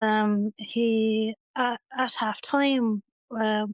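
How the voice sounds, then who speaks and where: A woman with a Waterford Irish accent, fairly high-pitched and monotone, her intonation flat, in a dry, close sound with no echo against a quiet background. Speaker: bereaved sister. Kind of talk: testimony. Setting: her home.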